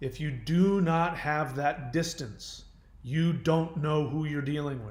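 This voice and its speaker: Fairly slow male speech at a fairly high pitch, with ordinary pitch variation and audible room echo. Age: 50s. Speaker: YouTuber on relationship recovery. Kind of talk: casual monologue.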